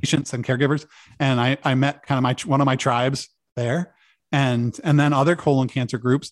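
The speaker has an American accent and a monotone, flat intonation at a fairly quick pace. The sound is dry and close, with no echo. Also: man, medium pitch for a man. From US Northeast (Maine). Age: 40s. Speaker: cancer patient and support group founder. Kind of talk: podcast interview.

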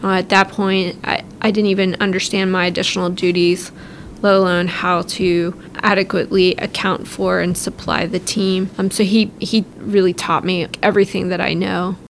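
At a moderate pace and medium pitch, a woman with an American accent speaks in a monotone, flat intonation over noticeable background noise. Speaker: army officer. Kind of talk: interview. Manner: casual with filler words.

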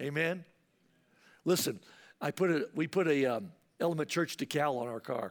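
Against a silent background in a very clean recording, a man with a fairly high pitch talks at a moderate pace with lively intonation and long, frequent pauses. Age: 60s. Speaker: pastor. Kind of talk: sermon. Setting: church.

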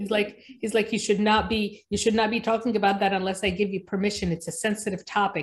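Her voice has a somewhat breathy quality. This woman talks in an American accent. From Egypt, raised mainly in New Jersey. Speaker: pediatrician. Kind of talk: interview.

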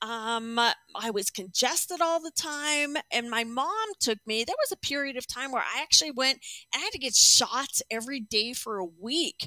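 A woman with an American accent speaks at a moderate pace in a high, bright, sharp voice. She projects it loudly, and the sound is dry and close with no echo. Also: lively intonation. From Arizona. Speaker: clinician. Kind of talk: interview.

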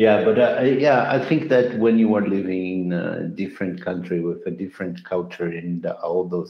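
Room echo is audible. The intonation is fairly even. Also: man, low pitch for a man, moderate pace.

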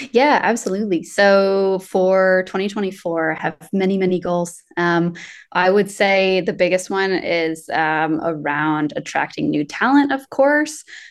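A woman with an American accent and an unremarkable speaking voice talks at a fairly slow pace with hardly any pauses, medium pitch and lively intonation, against a quiet background. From US South, Asheville, North Carolina. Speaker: employer branding specialist. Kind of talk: interview conversation.

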